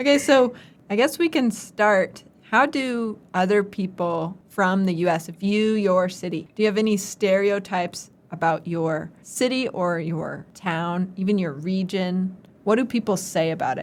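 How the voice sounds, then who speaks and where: A woman's medium-pitched voice with an American accent, a fairly slow pace and ordinary pitch variation, on a very clean recording with a silent background. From US South, Atlanta, Georgia. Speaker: podcast co-host, English teacher abroad. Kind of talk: casual chat.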